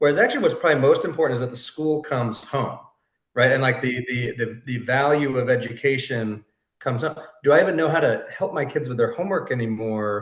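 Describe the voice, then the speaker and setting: A man talks fairly quickly in a medium pitch, somewhat breathy, with ordinary pitch variation. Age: 40s. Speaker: podcast host. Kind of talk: casual chat.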